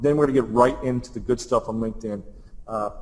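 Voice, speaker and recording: An energetic man with an American accent speaks at a medium pitch with ordinary pitch variation. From US Midwest (Columbus, Ohio). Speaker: social media marketing presenter. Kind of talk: webinar presentation. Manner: fast.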